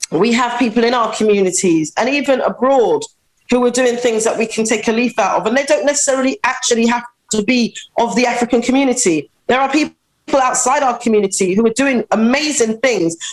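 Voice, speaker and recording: The speech moves at a fairly quick pace, with ordinary pitch variation and very even loudness. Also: woman, high pitch for a woman. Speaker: community activist and school founder. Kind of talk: interview. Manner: fast.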